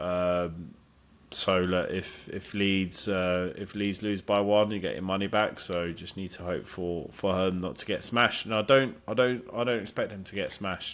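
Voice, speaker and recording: A man speaks at a moderate pace with a fairly low pitch and fairly even intonation. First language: not English. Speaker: football betting tipster. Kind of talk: casual podcast chat. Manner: hesitant, many fillers.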